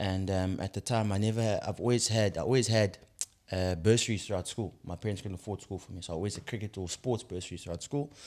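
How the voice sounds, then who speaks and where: A man talks very fast in a fairly low pitch with a South African accent. His pitch varies in an ordinary way. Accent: Zulu South African English. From South Africa, KwaZulu-Natal. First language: Zulu. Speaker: podcast host. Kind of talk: podcast interview. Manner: casual, conversational.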